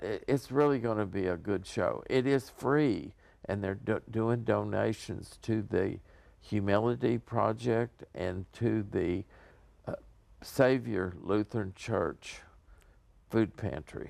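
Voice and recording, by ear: The voice has vocal fry and a slightly mellow tone. It moves at a slow pace with ordinary pitch variation. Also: man, fairly low pitch for a man.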